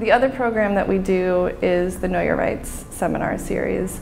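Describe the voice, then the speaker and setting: A woman speaks with music in the background. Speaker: legal aid executive director. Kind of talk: interview answer.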